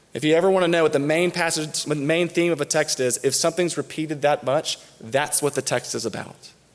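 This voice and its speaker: Fairly high in pitch, a man talks at a fairly quick pace with fairly even intonation in an ordinary speaking voice. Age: 30s. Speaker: campus minister, guest preacher. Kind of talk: sermon. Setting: church.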